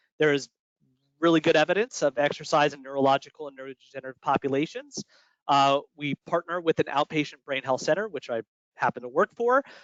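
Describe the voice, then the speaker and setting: The pitch of this man's voice is fairly high. He speaks very fast. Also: ordinary pitch variation, big swings in loudness. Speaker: exercise physiologist presenter. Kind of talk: webinar presentation.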